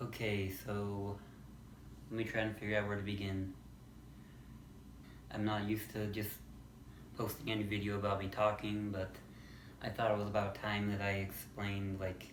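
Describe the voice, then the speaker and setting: Flat, monotone delivery broken by long, frequent pauses, with audible room echo. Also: man, fairly low pitch for a man, moderate pace. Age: 20s. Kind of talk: casual vlog monologue. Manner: halting, with pauses and repeats.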